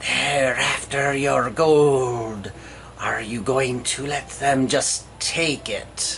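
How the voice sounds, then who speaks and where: A put-on character voice at a low-to-middle pitch moves along at a very slow pace. Clear background noise and hissing run beneath it. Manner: tempting.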